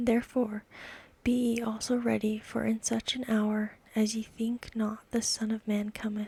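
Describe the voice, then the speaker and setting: A soft-spoken woman with a fairly high pitch and monotone, flat intonation, in a dry, close sound with no echo. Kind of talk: ASMR Bible reading. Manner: calm, soothing.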